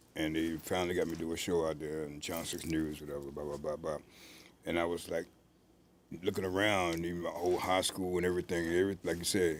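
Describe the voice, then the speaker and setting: With an American accent, a man speaks very fast in a very deep, low voice with monotone, flat intonation. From Virginia, Richmond. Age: 60s. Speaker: mime and author, army veteran. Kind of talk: casual interview.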